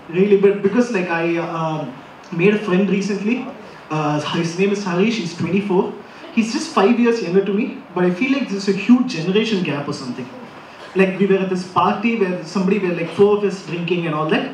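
Noticeable background noise accompanies a man with a high voice who talks at a fairly quick pace, with ordinary pitch variation. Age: 20s. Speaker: stand-up comedian. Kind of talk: stand-up. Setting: stage with audience.

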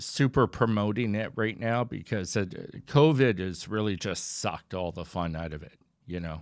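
At a moderate pace, a man speaks in an unremarkable speaking voice, fairly low in pitch, with lively intonation and big swings in loudness. The recording is very clean, with a silent background. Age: 40s. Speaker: animation creator and podcast co-host. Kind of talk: casual chat.

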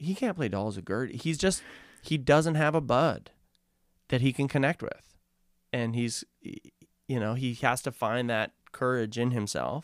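In a very clean recording with a silent background, a man speaks at a moderate pace and medium pitch with ordinary pitch variation and long, frequent pauses. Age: 30s. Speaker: filmmaker and producer. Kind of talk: casual chat. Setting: studio. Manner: animated.

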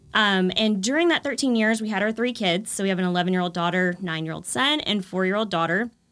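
Barely pausing, a woman talks at a very fast pace with ordinary pitch variation in a very clean recording with a silent background. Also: medium pitch for a woman. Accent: American. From Texas, Texas-Louisiana border. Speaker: home decor influencer. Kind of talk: casual interview.

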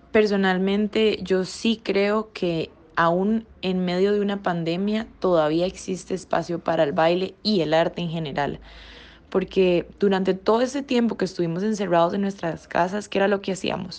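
A woman talks in a normal speaking voice at a medium pitch. Her pace is moderate and her intonation fairly even. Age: 20s. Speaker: professional dancer and dance teacher. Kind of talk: podcast interview.

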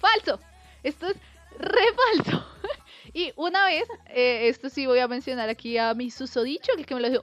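A woman with a high voice and lively intonation talks at a moderate pace while noticeable background noise carries on behind her. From Colombia. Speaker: podcast co-host. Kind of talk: casual chat.

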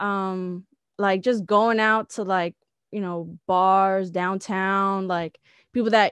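A woman with an American accent, medium pitch and monotone, flat intonation, in a dry, close sound with no echo and a quiet background. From San Diego, California. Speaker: independent musician. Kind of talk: casual interview.

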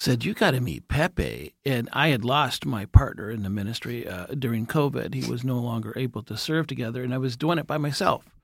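With vocal fry and lively intonation, a man speaks at a medium pitch and fairly quick pace with hardly any pauses. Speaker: jail ministry volunteer. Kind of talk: casual chat.

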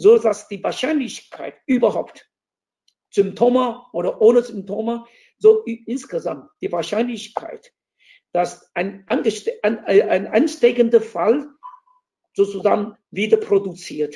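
A man's high-pitched voice, dark and mellow in tone, moves at a very slow pace with ordinary pitch variation. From Taiwan. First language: Taiwanese Mandarin (speaking German). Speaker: diplomat. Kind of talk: interview.

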